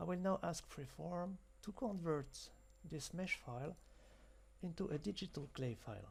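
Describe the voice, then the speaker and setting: A man with a French accent. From France. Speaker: software demonstrator. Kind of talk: tutorial.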